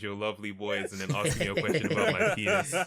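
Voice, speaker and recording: Noticeable background noise is present. Over it, a man talks in a fairly low voice. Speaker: podcast co-host. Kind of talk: casual chat.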